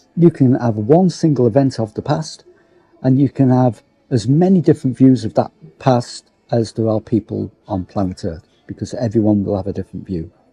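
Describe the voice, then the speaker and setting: Over music in the background, a man with a medium pitch talks at a moderate pace in a relaxed tone with lively intonation, the sound dry and close with no echo. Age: 60s. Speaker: local history vlogger. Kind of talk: casual vlog monologue. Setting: theatre foyer, seated in a chair. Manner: relaxed, reflective with hesitations.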